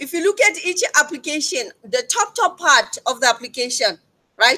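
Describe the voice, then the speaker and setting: A woman speaks in a raised, projected voice at a high pitch, with a bright, sharp tone. Her pitch swings very widely at a moderate pace. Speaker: lecturer. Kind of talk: tutorial. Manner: loud.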